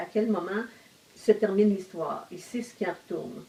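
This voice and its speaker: A woman's medium-pitched voice moves along at a moderate tempo. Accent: Quebec. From Quebec, Outaouais region. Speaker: novelist. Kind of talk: casual discussion. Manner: hesitant, many fillers.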